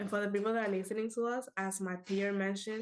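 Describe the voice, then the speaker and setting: A woman with a Spanish accent at a medium pitch, with monotone, flat intonation. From Dominican Republic. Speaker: alumna entrepreneur. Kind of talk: livestream panel discussion.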